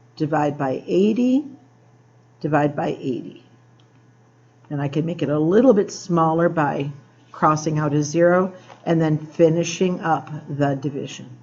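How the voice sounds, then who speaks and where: A woman's very deep, low voice with ordinary pitch variation, at a fairly slow pace with long, frequent pauses and audible room echo. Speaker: math teacher. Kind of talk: tutorial. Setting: classroom after school.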